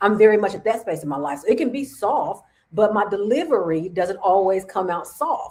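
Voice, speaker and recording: A woman speaks at a fairly quick pace with lively intonation. Her pitch sits in the medium range for a woman. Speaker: podcast co-host. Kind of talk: casual chat. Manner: loud; boisterous.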